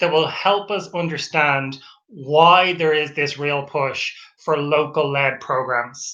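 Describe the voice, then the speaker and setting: With an Irish accent, a man speaks at a very slow pace in a bright, sharp tone, with audible room echo. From Ireland. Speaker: PhD researcher. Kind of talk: webinar lecture. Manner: halting.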